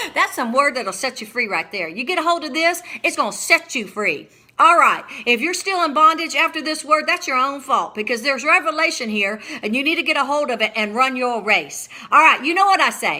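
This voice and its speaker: Her voice raised and projected, a woman speaks at a high pitch and a fairly quick pace, with an animated tone and lively intonation. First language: not English. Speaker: preacher and author. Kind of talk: sermon.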